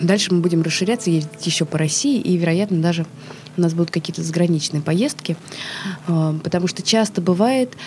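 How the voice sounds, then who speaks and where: Noticeable background noise sits behind a woman speaking at a fairly quick pace. Her voice is medium in pitch, with ordinary pitch variation. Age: 30s. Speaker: actress. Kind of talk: interview. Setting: studio.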